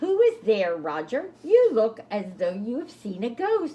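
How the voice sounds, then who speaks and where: In a put-on character voice, a female-sounding voice speaks at a fairly slow pace with fairly high pitch. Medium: read story. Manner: proper, teacherly.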